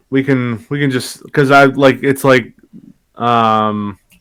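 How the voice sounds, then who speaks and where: Mumbling, a man speaks at a medium pitch and a fairly slow pace. His intonation stays fairly even. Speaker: podcast co-host. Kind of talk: casual chat.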